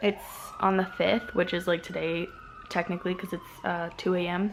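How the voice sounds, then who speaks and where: A woman speaks softly at a medium pitch. Her intonation stays fairly even. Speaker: vlogger, college student. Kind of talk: casual vlog talk. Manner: soft-spoken.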